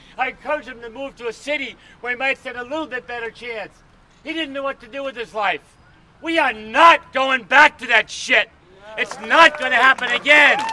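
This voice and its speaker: A man's raised, projected voice at an extremely high pitch, fairly quick pace and ordinary pitch variation, with big swings in loudness, noticeable background noise, and a dry, close sound with no echo. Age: 60s. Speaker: activist at a rally. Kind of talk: rally speech.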